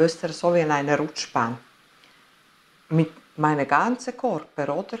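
Pausing long and often, a woman with a very deep, low pitch speaks at a fairly slow pace with lively intonation. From Italy. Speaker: near-death experience witness; interviewee. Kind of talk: interview testimony. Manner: halting. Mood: earnest, emotional storytelling. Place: home room.

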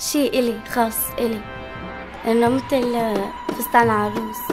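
A woman with a Damascus accent speaks in a high voice, with music playing in the background. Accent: Levantine Arabic (Damascus). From Syria (Damascus). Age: young. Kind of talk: interview answer.

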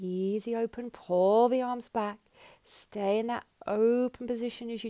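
Over a quiet background, a woman with a dark, mellow tone speaks at a fairly slow pace. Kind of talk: exercise class instruction. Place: home room.

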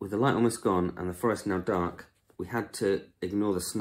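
An unforced reading voice carries the whole clip.

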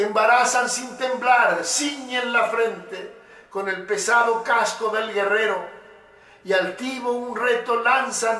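A man's raised, projected voice, extremely high-pitched, very slow and fairly even in intonation, with audible room echo. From Uruguay. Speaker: poet and motivational speaker. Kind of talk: poetry reading. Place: studio.

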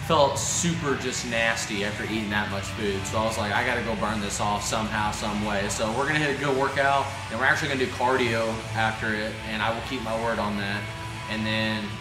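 Music plays behind a man who talks fairly quickly. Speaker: fitness vlogger. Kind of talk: casual vlog chat. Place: gym.

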